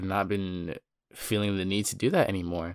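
On a very clean recording with a silent background, a man with a plain, everyday voice speaks at a fairly low pitch and a moderate pace, with ordinary pitch variation. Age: 20s. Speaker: solo podcast host. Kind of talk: casual monologue. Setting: home recording. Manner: casual, filler-heavy.

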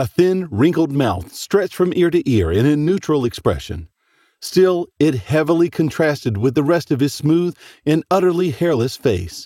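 A man with a fairly high pitch speaks at a moderate pace in a dramatic tone, his intonation lively and his loudness very even, on a very clean, dry, close recording with a silent background and no echo. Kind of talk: horror fiction reading. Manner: dramatic, suspenseful narration.

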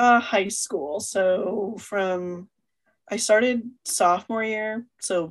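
A woman's medium-pitched voice, very slow, with ordinary pitch variation. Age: 20s. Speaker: podcast co-host. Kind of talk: casual chat.

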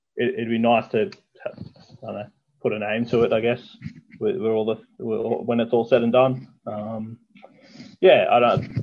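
At a fairly slow pace, a man speaks with a medium pitch and ordinary pitch variation, leaving long, frequent pauses. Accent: Australian. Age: 30s. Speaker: mini truck builder. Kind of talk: casual chat.

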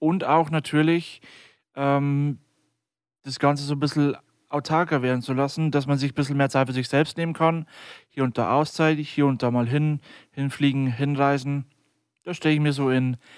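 A man at a fairly high pitch, moderate pace and monotone, flat intonation, with long, frequent pauses, in a very clean recording with a silent background. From Lower Bavaria, Germany (near Deggendorf). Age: 20s. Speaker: podcast co-host and IT company co-founder.

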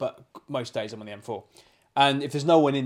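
In an English accent, a man speaks at a very fast pace. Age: 30s. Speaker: podcast co-host, estate agent. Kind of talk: casual chat. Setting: home living room.

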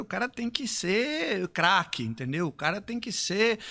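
A man with a high pitch raises and projects his voice at a moderate pace with very wide pitch swings, on a very clean recording with a silent background. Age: 50s. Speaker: fitness trainer and business mentor. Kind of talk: live stream conversation.

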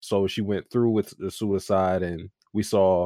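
A man with an ordinary speaking voice and fairly even intonation is heard in a very clean recording with a silent background and a dry, close sound with no echo. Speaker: anime podcast co-host. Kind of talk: casual chat.

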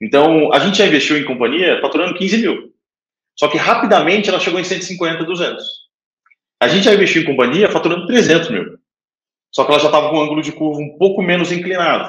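This man's voice is high-pitched. His pace is fairly quick. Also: ordinary pitch variation. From Brazil. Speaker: angel investor, fund manager. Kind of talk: casual interview. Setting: remote call.

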